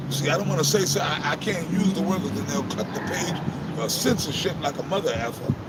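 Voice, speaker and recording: Through audible room echo and noticeable background noise, a man with a high pitch talks at a fairly quick pace with ordinary pitch variation. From Texas. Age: 50s. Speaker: street preacher. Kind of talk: street preaching discussion.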